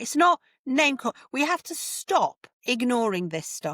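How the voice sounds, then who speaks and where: Animated and full of very wide pitch swings, a woman speaks in a dry, close sound with no echo on a very clean recording with a silent background. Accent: northern English. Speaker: home education advocate. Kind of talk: podcast interview.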